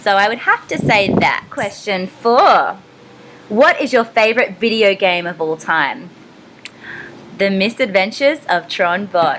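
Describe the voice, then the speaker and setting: Lively intonation at a fairly slow pace in an Australian accent, with noticeable background noise. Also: woman, medium pitch for a woman. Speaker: voice actor. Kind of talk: casual Q&A vlog. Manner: casual with frequent fillers.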